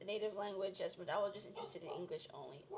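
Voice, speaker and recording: Speaking with an American accent, a woman talks at a very fast pace. Noticeable background noise is present. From United States, Kenyan-born, moved at four. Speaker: panel guest. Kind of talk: casual discussion.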